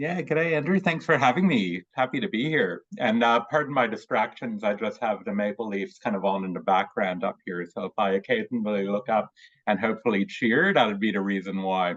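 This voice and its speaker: A man with a Canadian accent at medium pitch, with lively intonation, a fairly quick pace and hardly any pauses. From Canada, Toronto. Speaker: hockey player and fan. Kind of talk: casual interview chat.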